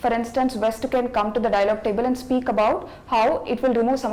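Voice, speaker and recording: Very fast speech from a woman, fairly high in pitch and fairly even in intonation, over noticeable background noise. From India, Telangana. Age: 20s. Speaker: civil service candidate. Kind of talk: mock job interview. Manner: formal.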